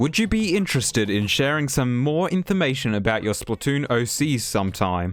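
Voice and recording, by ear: Here is a man with a medium pitch and big pitch swings. He talks at a moderate pace.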